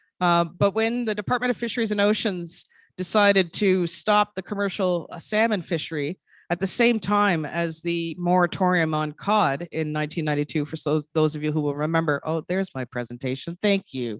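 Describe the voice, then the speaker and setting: A woman with a slight Labrador accent speaks at a fairly quick pace with ordinary pitch variation and a fairly low pitch. The sound is dry and close with no echo, and the background is quiet. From Quebec, Innu community. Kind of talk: conference presentation. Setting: conference hall with audience. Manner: halting with fillers.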